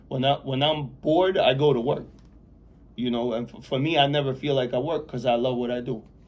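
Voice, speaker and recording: A man talks at a fairly quick pace in a plain, everyday voice, his pitch medium. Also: fairly even intonation. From Belarus, Soviet Union; immigrated to US at nine. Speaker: real estate developer, formerly incarcerated. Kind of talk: interview.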